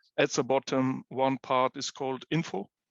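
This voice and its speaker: A German accent at a fairly slow pace. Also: man. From Germany, Munich. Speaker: head of addiction counseling service. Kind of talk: live app demonstration.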